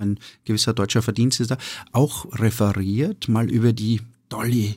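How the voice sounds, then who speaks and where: A man at a medium pitch and a fairly slow pace. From Austria, eastern Styria. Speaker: restaurateur and sommelier. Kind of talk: casual interview. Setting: studio. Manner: hesitant, many fillers.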